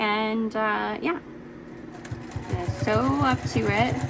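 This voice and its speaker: A woman speaks with a fairly high pitch. Noticeable background noise can be heard. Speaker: quilting teacher. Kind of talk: tutorial. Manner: casual.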